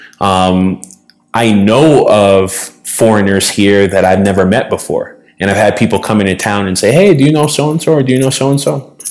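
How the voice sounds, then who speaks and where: A man with an American accent speaks at a moderate pace in a fairly low pitch, with ordinary pitch variation and an ordinary speaking voice. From Boston. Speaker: podcast co-host, former investment consultant. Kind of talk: casual chat.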